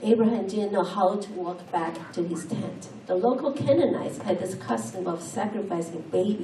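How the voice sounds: A natural reading voice, its pitch moving in an ordinary way.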